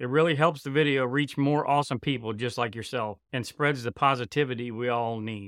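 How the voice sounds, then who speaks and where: Hardly pausing, a man with a plain, everyday voice speaks at a medium pitch and a fairly quick pace. His intonation is fairly even, on a very clean recording with a silent background. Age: 40s. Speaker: podcast host. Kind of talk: interview; scripted outro.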